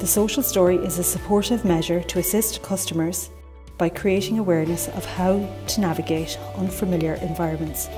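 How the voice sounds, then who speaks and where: Music in the background behind a woman talking at a fairly quick pace. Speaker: voice-over artist. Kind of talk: public information explainer narration.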